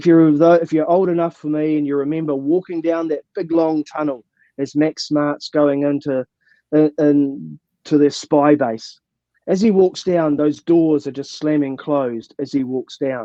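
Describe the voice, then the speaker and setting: In a New Zealand accent, the speaker talks at a fairly slow pace with fairly even intonation. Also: man, fairly high pitch for a man. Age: 60s. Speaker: mountaineer and motivational speaker. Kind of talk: Q and A. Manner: halting.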